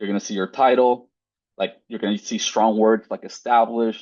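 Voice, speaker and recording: Here a man talks with a Spanish accent. His pace is fairly quick. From Mexico. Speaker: postdoctoral researcher. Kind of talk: webinar lecture. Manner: casual, filler-heavy.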